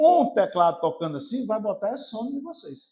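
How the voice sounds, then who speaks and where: Speaking at a high pitch, a man takes a fairly slow pace with an animated tone. His pitch swings very widely. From Brazil, Maranhão (São Luís). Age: 60s. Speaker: pastor. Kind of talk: sermon. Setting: church.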